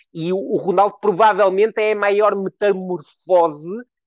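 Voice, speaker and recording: Against a quiet background, a man with a high pitch is heard in a dry, close sound with no echo. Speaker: football analyst. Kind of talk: casual chat.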